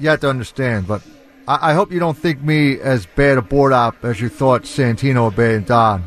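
The speaker has a South Philly accent and talks at a moderate pace. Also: man. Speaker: radio producer, board operator. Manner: loud.

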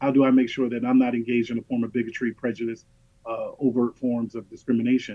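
Speaking with an American accent, a man has a plain, everyday voice. His intonation stays fairly even at a fairly quick pace. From US, Los Angeles and North Philadelphia. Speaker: state civil rights agency director. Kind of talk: radio interview.

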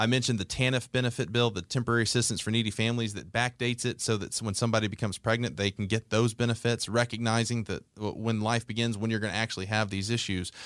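Speaking with an American accent, a man rattles along at a very fast pace with hardly any pauses and monotone, flat intonation. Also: medium pitch for a man. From Georgia, US South (Conyers, east of Atlanta). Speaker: executive director of a faith-based conservative advocacy group. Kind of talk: interview. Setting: studio.

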